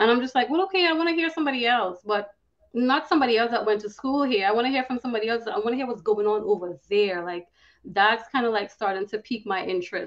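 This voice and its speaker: With a Trinidadian accent, a woman speaks at a very fast pace, fairly high in pitch and lively in intonation. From Trinidad and Tobago. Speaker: cybersecurity professional. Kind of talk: podcast interview.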